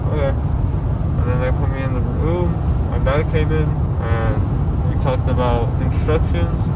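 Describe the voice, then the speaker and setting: A man speaking at a fairly slow pace amid loud background noise. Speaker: vlogger after dental surgery. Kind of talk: casual vlog chat. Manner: groggy, numb-mouthed post-surgery speech. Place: car. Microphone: phone near.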